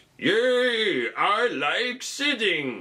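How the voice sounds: A man performs a put-on character voice. It sits high for a man and moves through very wide pitch swings.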